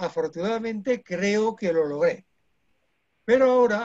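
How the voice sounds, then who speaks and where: Speaking at a very slow pace, the man shows ordinary variation in his pitch. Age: 70s. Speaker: art historian, former magazine editor. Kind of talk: presentation speech.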